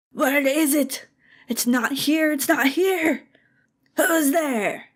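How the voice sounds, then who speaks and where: In a cartoonish character voice, a woman speaks very slowly with a high, raspy pitch. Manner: agitated, aggressive.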